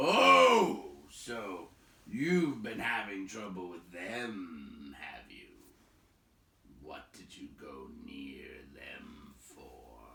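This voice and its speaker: In a put-on character voice, a man growls out raspy, gruff words at a very slow pace, his fairly low pitch swinging very widely. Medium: read story. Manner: gruff, blunt.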